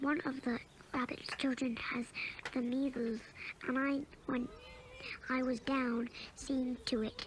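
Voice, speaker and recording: Over clear background noise, a woman does a put-on character voice with an anxious tone at a high pitch, her intonation monotone and flat, her loudness very even, and her fairly slow delivery broken by long, frequent pauses. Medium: read story. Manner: fussy, anxious.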